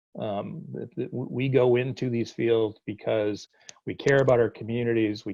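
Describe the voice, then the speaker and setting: With a slight Boston accent, a man talks using ordinary pitch variation. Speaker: college dean. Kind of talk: virtual town hall. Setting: video call. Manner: halting, many repetitions and fillers.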